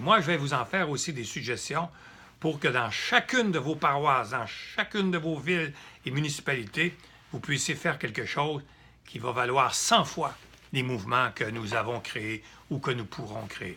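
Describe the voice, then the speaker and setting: A man speaks with lively intonation at a fairly high pitch. His tone is bright and sharp. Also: moderate pace. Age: 70s. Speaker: political activist. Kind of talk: direct-to-camera political appeal. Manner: halting, with repetitions.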